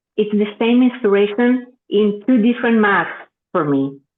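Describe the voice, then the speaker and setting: A woman speaks with a Greek accent. Her pace is fairly slow. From Greece. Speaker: author. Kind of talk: interview.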